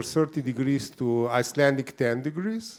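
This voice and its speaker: Lively intonation in a Slavic accent at a moderate pace. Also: man. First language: Slovenian. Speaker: writer and event moderator. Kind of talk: interview at a book event.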